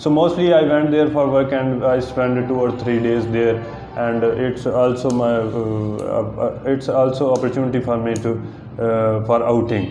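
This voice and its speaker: Fairly slow and fairly even in intonation, a man speaks. Light background noise and audible room echo are present. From Pakistan, Punjab (near Jhelum); Punjab, Pakistan. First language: Urdu or Punjabi. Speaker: IELTS test candidate. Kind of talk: mock speaking exam; interview answer. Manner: halting, many fillers.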